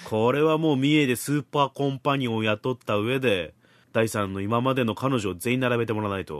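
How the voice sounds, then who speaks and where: A man with a medium-pitched voice speaks at a fairly quick pace, using ordinary pitch variation. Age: 30s. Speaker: podcast host. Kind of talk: casual chat. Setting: Skype call. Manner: animated.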